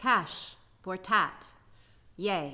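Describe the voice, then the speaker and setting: A put-on character voice sounds female and raspy. The pitch sits at a medium level. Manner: flat, unenthusiastic.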